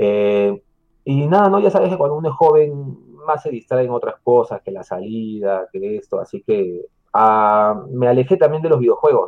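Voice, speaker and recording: A man at a medium pitch and a moderate pace, with very wide pitch swings and big swings in loudness. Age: 30s. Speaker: YouTuber living in Japan. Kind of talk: casual chat.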